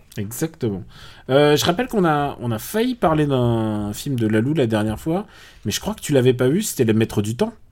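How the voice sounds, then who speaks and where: Here is a man with an ordinary speaking voice, at a medium pitch with lively intonation. He keeps a moderate pace on a very clean recording with a silent background. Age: 40s. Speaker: film podcast host. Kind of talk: casual chat.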